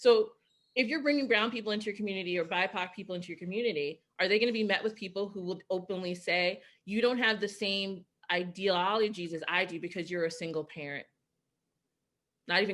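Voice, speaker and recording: A woman with a medium pitch talks at a very fast pace. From New York. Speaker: keynote speaker. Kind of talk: keynote Q&A discussion. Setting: video call. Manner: loud.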